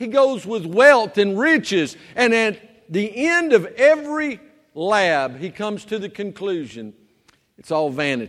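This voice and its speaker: Speaking fairly slowly with a Southern US accent, a man with a high voice swings very widely in pitch and makes big swings in loudness. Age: 50s. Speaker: pastor. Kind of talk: sermon. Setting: church.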